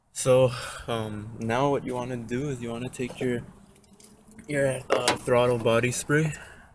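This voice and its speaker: Against noticeable background noise, a quiet man with a medium pitch talks fairly slowly in a monotone, flat intonation, leaving long, frequent pauses. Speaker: amateur car mechanic. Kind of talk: DIY tutorial narration.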